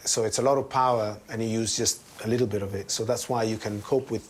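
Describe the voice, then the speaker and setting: A man with an Italian accent speaks at a very fast pace in a monotone, flat intonation, with noticeable background noise. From Italy. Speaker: surgeon. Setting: hospital.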